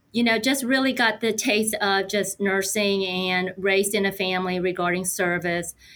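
In a plain, everyday voice, a woman at medium pitch keeps a moderate pace with hardly any pauses, very even loudness and fairly even intonation. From United States, moved from Korea as a young child. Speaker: nurse and health system technology executive. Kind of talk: podcast interview.

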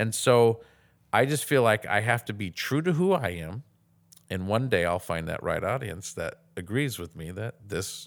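A man with a fairly low pitch speaks in an American accent at a moderate pace, using lively intonation and big swings in loudness. He takes long, frequent pauses, and the recording is very clean with a silent background. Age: 40s. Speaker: comedian and former pastor. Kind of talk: casual interview.

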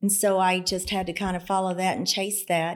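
On a very clean recording with a silent background, a woman with an American accent speaks at a moderate pace and medium pitch in an ordinary speaking voice. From rural southwest Oklahoma. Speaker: accountant and philanthropist. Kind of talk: casual interview.

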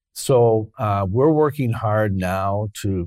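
This man has a Canadian accent and an unremarkable speaking voice. His pitch varies in an ordinary way. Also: dry, close sound with no echo. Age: 60s. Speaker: mayor. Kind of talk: interview.

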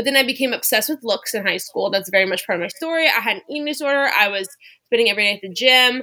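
With an American accent, a woman speaks very fast in a bright, sharp tone, with fairly high pitch and lively intonation. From US South, Louisiana near New Orleans. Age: 20s. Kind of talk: casual interview chat.

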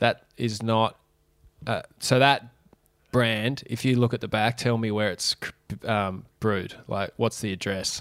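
With an Australian accent, a man of medium pitch speaks in a monotone, flat way at a fairly slow pace, leaving long, frequent pauses. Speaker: podcast co-host. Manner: joking, laughing.

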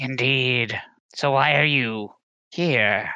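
A man puts on a raspy character voice at medium pitch with ordinary pitch variation. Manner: wry, wise, world-weary.

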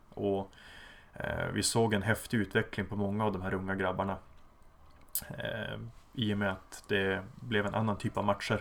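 A man at a fairly low pitch, monotone and flat, at a moderate pace with long, frequent pauses. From Sweden, Umeå. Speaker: football coach. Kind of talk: interview.

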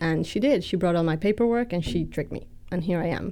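With a cheerful tone that is also dark and mellow, a woman speaks at a fairly low pitch with ordinary pitch variation in a very clean recording against a silent background. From Mexico City. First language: Spanish. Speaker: churchgoer. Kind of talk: testimony. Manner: cheerful, laughs often.

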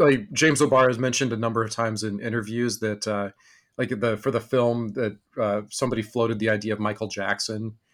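With an American accent and an unremarkable speaking voice, a man of medium pitch speaks at a fairly quick pace with ordinary pitch variation in a very clean recording with a silent background. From rural Texas and Wyoming. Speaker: podcast host. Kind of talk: casual interview chat.

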